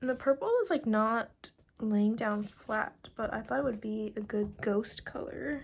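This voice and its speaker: A woman speaks at a fairly high pitch with fairly even intonation. Her voice is somewhat breathy. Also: fairly slow pace. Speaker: art YouTuber. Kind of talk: casual draw-along chat. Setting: at home, late at night. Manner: alternates normal voice and whispering; casual, filler-heavy.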